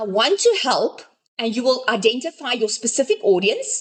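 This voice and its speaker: A woman speaks in a high voice at a moderate pace. Her pitch swings very widely. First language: not English. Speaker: business coach. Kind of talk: online workshop session. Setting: group video call.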